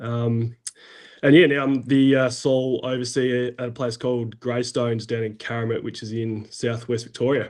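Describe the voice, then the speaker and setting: Here is a man with an Australian accent and a medium-pitched voice. He talks at a moderate pace with monotone, flat intonation. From South Australia. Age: 30s. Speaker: farm overseer, former firefighter. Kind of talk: podcast interview. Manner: hesitant, many fillers.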